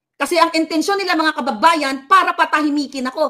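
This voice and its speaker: Over a quiet background, a furious woman speaks fairly quickly in a raised, projected voice, extremely high in pitch and bright and sharp in tone, with fairly even intonation. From Philippines. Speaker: political commentator vlogger. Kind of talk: angry rant. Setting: Pinoy living in the US. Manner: loud, furious, insulting; sarcastic, taunting. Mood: indignant defiant. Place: home room. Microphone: phone near.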